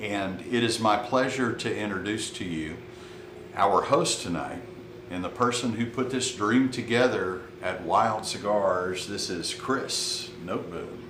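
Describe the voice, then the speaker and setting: With audible room echo and noticeable background noise, a man speaks at a fairly slow pace and fairly low pitch, with ordinary pitch variation. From Texas, Burleson near Fort Worth. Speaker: cigar sales representative. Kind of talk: casual chat.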